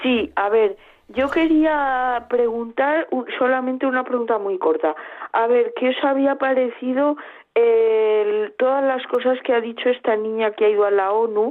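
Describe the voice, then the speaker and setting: A woman's high voice at a very even loudness. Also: ordinary pitch variation, fairly slow pace. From Seville, Spain. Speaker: radio caller. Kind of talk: phone-in call.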